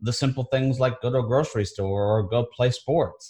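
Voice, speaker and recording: A man talks at a fairly quick pace. His voice is somewhat breathy, over a quiet background. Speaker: podcast host. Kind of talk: interview. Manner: enthusiastic.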